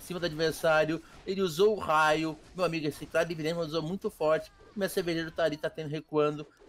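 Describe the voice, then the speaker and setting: A man's fairly high-pitched voice. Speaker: game commentator. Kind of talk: live sports-style esports commentary. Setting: recorded gameplay commentary. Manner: animated, excited play-by-play.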